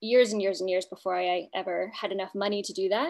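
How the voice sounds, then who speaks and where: Against a quiet background, a woman with an American accent speaks at a medium pitch. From Kansas, US Midwest. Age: 30s. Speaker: polar expedition guide. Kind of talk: casual chat.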